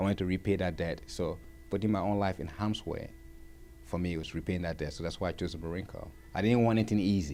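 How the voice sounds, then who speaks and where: Over music in the background, a man talks at a very fast pace in a very deep, low voice with ordinary pitch variation. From Liberia. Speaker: war veteran. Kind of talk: interview.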